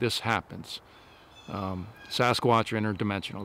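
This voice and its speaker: A man at a moderate pace, fairly low in pitch with ordinary pitch variation, in a dry sound with no echo. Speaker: outdoor paranormal vlogger. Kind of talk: casual vlog chat. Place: forest.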